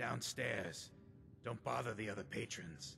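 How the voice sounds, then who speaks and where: A man's raspy, put-on character voice of fairly low pitch at a moderate pace, with clear background noise. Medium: video game. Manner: terse, formal.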